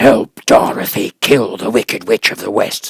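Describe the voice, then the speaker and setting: In a dry, close sound with no echo, a man bellows a gruff, growling put-on character voice at a moderate pace. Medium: read story. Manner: commanding, stern.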